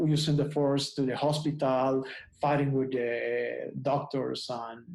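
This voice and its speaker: Speaking with a non-native accent, a man keeps a monotone, flat intonation. His pace is fairly slow, and room echo can be heard. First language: Spanish. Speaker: photographer. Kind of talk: casual interview. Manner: halting, many repetitions.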